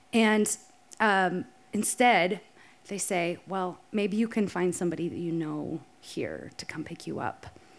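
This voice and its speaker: A woman speaks at medium pitch and a fairly slow pace, with vocal fry and ordinary pitch variation. Her loudness swings widely. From South Dakota. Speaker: storyteller. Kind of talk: live storytelling. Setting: stage with audience.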